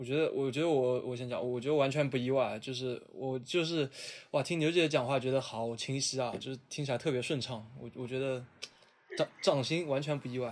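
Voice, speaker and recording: In an ordinary speaking voice, a man talks at a fairly quick pace, his medium pitch held to fairly even intonation. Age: 20s. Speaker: podcast host. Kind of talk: casual chat.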